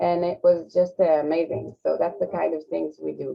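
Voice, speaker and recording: This speaker has an Israeli accent. The pace is moderate. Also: woman. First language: Hebrew. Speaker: social program representative. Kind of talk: panel discussion. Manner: halting.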